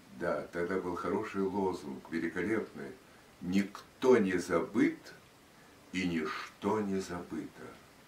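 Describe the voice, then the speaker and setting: A man with a very deep, low voice and ordinary pitch variation speaks at a very slow pace with long, frequent pauses, in a room with audible echo. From Russia. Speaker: radio and TV announcer. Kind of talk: interview answer. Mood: reflective, solemn. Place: home room. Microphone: camera far.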